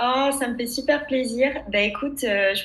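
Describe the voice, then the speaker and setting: Through noticeable background noise, a woman talks at a moderate pace with ordinary pitch variation. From France, Loire region countryside (Châteaudun). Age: 20s. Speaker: labour lawyer and career coach. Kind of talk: interview testimony. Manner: hesitant, many fillers.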